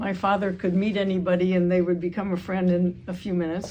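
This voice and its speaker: Over noticeable background noise, a woman with an American accent speaks fairly quickly at medium pitch in a flat monotone. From California, Carmel. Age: 80s. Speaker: long-time resident, history panelist. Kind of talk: panel talk.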